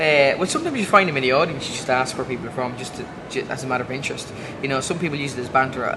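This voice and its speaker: Over noticeable background noise and audible room echo, a man with an Irish accent speaks at a very fast pace with a fairly high pitch and ordinary pitch variation. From Ireland. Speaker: comedian. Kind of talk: interview. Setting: comedy festival. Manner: halting.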